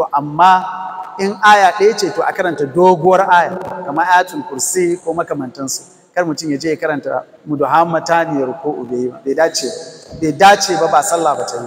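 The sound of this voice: A man with a fairly high pitch and a slightly husky edge talks at a fast pace with few pauses.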